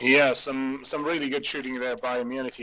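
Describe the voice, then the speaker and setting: Noticeable background noise behind a moderately paced man with a medium pitch. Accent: non-native. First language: not English. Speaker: esports commentator. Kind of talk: live commentary. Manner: hesitant, many fillers and repeats.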